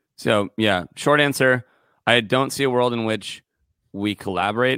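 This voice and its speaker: A man with a Californian accent talks at a moderate pace with ordinary pitch variation, in a very clean, dry, close recording with no echo and a silent background. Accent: Californian American English. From California, Santa Barbara. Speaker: singer-songwriter and music producer. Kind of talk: casual interview chat.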